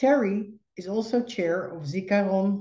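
In a Dutch accent, a somewhat breathy voice with a dark, mellow tone comes through audible room echo over a quiet background. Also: woman. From Netherlands. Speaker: podcast host and psychologist. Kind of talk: podcast interview. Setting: video call. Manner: halting. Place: home room. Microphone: video call.

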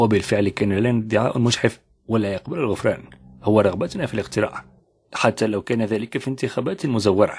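An ordinary speaking voice from a man at medium pitch and moderate pace, with ordinary pitch variation and a quiet background. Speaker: audiobook narrator. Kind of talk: reading aloud.

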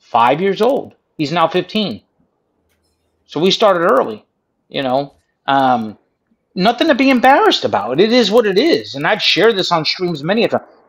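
With an American accent, a man speaks in a high voice that swings very widely in pitch, leaving long, frequent pauses. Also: moderate pace. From United States. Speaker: livestream chat participant. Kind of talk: casual chat. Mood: defensive, earnest. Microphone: video call.

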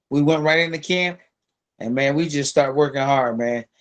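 Here is a man with a fairly high pitch. The background is quiet. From Philadelphia, US. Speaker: former professional boxer; podcast guest. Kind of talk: casual interview. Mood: relaxed storytelling. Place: home room. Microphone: video call.

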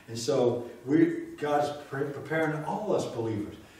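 Strong room echo surrounds a man speaking at a fairly slow pace and medium pitch. His slightly mellow voice shows ordinary pitch variation.

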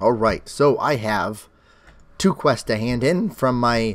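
A man at a very slow pace, medium in pitch, with ordinary pitch variation. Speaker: gaming YouTuber. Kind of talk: Let's Play commentary. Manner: casual, conversational.

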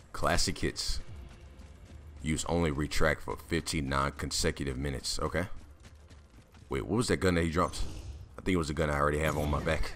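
Music plays in the background as a man talks at a fairly quick pace, with long, frequent pauses. His pitch is very deep and low, with fairly even intonation. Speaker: gaming YouTuber. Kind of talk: live gameplay commentary. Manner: casual, rambling.

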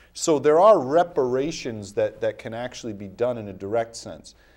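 A man with an American accent and an ordinary speaking voice, medium in pitch, at a moderate pace against a quiet background. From Rhode Island, US. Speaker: criminal defense attorney, former mayor; interview guest, attorney. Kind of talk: interview. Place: studio.

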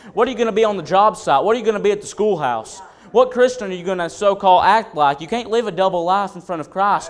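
Light background noise sits under this man's high-pitched voice. His pitch variation is ordinary. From North Carolina, Wilkesboro and Caldwell County area; North Carolina. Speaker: preacher. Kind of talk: sermon. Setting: church. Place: church. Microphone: podium.

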